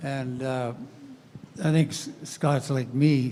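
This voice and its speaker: Speaking at a fairly slow pace, a man has a medium-pitched, somewhat breathy voice with a dark, mellow tone and ordinary pitch variation. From Canada. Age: 70s. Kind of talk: panel discussion. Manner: halting, many fillers.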